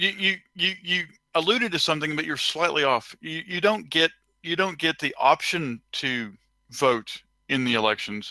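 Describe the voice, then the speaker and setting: On a very clean recording with a silent background and a dry, close sound with no echo, a man speaks at a moderate pace in a fairly high, bright, sharp voice with vocal fry and lively intonation. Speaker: podcast host. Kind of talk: casual chat.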